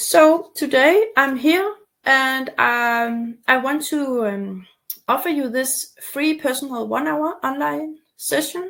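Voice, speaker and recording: A woman at a high pitch and a very slow pace, her pitch swinging very widely. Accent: Danish. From Denmark, near Copenhagen. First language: Danish. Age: 40s. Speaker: torticollis recovery coach. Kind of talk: webinar presentation with sales pitch. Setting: online webinar. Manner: halting, many fillers.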